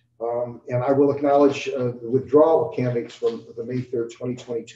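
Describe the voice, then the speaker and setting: A man talks at a moderate pace. Audible room echo and light background noise come through. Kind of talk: formal meeting procedure. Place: meeting room. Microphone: podium.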